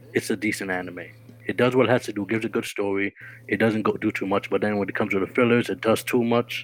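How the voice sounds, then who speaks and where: Very fast speech from a man with a fairly low pitch and fairly even intonation. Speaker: podcast co-host. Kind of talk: casual banter podcast.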